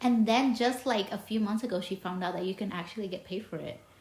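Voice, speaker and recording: Speaking at a fairly quick pace, a woman has a fairly high pitch. Noticeable background noise can be heard. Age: 30s. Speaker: podcast host. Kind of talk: casual interview chat. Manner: halting, many false starts.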